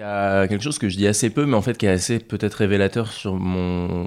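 On a very clean recording with a silent background, a man with an ordinary speaking voice and fairly low pitch talks at a fairly quick pace with fairly even intonation. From Normandy, France. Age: 20s. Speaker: adventurer and polar explorer. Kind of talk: interview.

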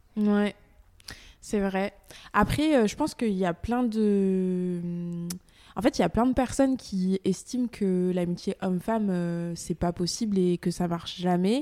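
Very slowly and with long, frequent pauses, a woman with a medium pitch and a dark, mellow tone speaks with ordinary pitch variation, in a dry, close sound with no echo and a very clean recording over a silent background. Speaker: podcast host. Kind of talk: casual chat.

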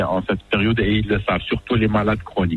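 A fairly low-pitched man speaks, his pitch varying in an ordinary way. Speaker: general practitioner. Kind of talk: interview.

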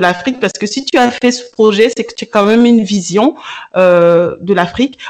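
At a fairly slow pace, a woman with an unremarkable speaking voice talks at a fairly high pitch with ordinary pitch variation. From Africa. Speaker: podcast host, radio and TV presenter. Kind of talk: interview.

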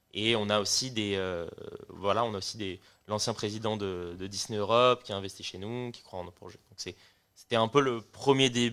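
A plain, everyday voice: a man with a fairly low pitch talks at a moderate pace with big swings in loudness. The recording is very clean, with a silent background. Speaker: music startup co-founder. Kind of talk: casual chat.

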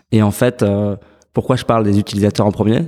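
A man speaks in a fairly low, dark and mellow voice with flat, monotone intonation. The recording is very clean, with a silent background. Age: 30s. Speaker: startup co-founder. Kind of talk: interview. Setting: in person at the guest's office.

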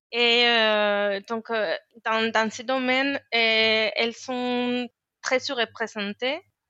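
A woman speaks in a Spanish accent at a fairly high pitch. Her intonation is monotone and flat, and her pace very slow. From Spain. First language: Spanish (speaking French). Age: 30s. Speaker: engineer. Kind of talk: interview. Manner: halting, many hesitations and repetitions.

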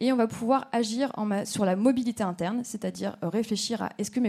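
Her dark, mellow voice moves at a fairly quick pace as this woman speaks with fairly even intonation. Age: 30s. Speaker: startup representative. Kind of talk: startup pitch.

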